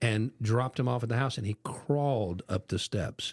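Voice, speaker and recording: A man with an American accent speaks at a fairly quick pace. He has a plain, everyday voice and ordinary pitch variation. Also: very clean recording, silent background. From Ohio, US Midwest. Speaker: podcast host. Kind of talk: casual chat.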